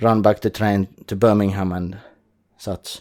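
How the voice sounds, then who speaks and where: In a very clean recording with a silent background, a man talks at a fairly slow pace with a fairly low pitch and a dark, mellow tone. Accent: Finnish. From Finland. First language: Finnish. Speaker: podcast host. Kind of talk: solo podcast monologue. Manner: casual, somewhat halting.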